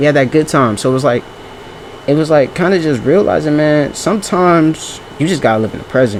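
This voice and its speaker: Noticeable noise runs behind a man whose voice sits fairly high. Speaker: vlogger. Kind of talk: casual monologue. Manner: fast; halting.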